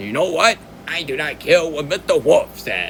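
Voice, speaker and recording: A man's put-on character voice at a fairly high pitch, with clear background noise. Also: moderate pace. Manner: defiant, tough.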